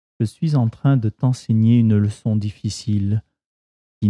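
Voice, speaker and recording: In a dry, close sound with no echo, a man with fairly low pitch and a dark, mellow, gentle, calm tone speaks very slowly with ordinary pitch variation. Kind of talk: guided meditation; reading aloud of devotional text and scripture. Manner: slow, calm, soothing; gentle, reverent, measured.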